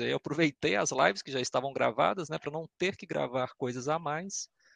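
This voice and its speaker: A man with a Belo Horizonte accent at a moderate pace. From Belo Horizonte, Brazil. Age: 30s. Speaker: YouTube content creator and scale modeller. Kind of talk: casual chat.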